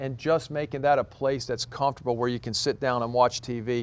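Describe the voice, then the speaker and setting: Here a man talks at a medium pitch. His intonation stays fairly even. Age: 60s. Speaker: head golf professional. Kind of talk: casual interview. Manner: halting, many repetitions.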